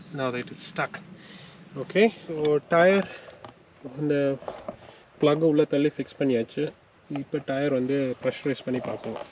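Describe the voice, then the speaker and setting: Fairly high male pitch with a Tamil accent, fairly slow pace, long and frequent pauses, ordinary pitch variation, big swings in loudness, and noticeable background noise from a man. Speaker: motorcycle vlogger. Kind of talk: casual vlog narration mixing Tamil and English. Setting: outdoors on a forest trail.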